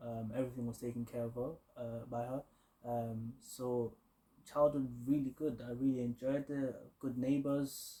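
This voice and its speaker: A man speaks at a medium pitch in a dark, mellow, somewhat breathy tone. His delivery is monotone and flat at a moderate pace. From Kenya (Eldoret) until age 10-11, then London. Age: 20s. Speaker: aerospace engineer, recent graduate. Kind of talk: interview.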